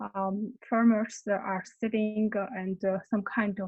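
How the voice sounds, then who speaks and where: A woman with a Georgian accent, a medium pitch and a somewhat breathy voice, at a very slow pace in a monotone, flat intonation. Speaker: conference panelist. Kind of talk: online panel discussion. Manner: halting, many fillers.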